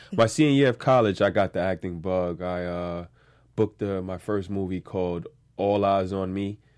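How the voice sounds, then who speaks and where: Over a quiet background, a man with a New York accent speaks at a moderate pace in a very deep, low pitch. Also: ordinary pitch variation. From New York, Staten Island. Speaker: actor. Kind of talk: casual interview chat.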